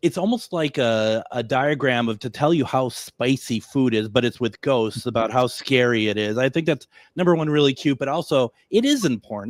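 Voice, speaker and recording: Recorded dry and close with no echo against a silent background on a very clean recording, a man with a plain, everyday voice speaks at medium pitch and a moderate pace with lively intonation. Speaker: radio talk show host. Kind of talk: radio interview.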